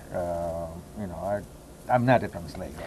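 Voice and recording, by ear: A man's low pitch and slightly mellow tone at a moderate pace. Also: ordinary pitch variation.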